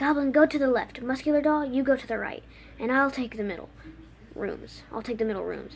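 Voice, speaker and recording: A woman does a put-on character voice at a high pitch, talking at a fairly quick pace over clear background noise. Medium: read story. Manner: cold, menacing.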